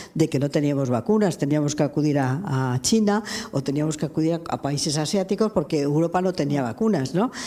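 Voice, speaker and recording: With a very deep, low pitch and a dark, mellow tone, a woman talks at a fairly quick pace. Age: 80s+. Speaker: lawyer and human rights activist. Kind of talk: public interview. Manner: halting.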